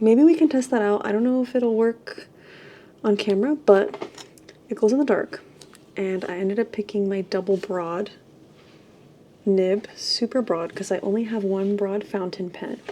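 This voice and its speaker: With long, frequent pauses, a woman speaks at a moderate pace, her medium pitch showing ordinary variation. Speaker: artist vlogger. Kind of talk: casual vlog narration.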